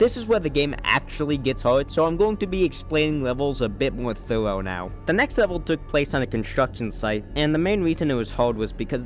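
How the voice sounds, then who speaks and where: Music plays in the background as a man talks at a fairly quick pace, his medium-pitched voice carrying lively intonation. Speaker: gaming YouTuber. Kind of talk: comedic gameplay commentary narration.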